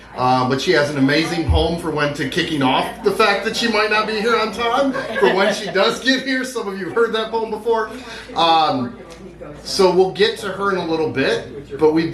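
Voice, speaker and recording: With lively intonation and a moderate pace, this man talks while noticeable background noise fills the clip. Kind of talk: poetry open mic host welcome. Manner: casual, upbeat.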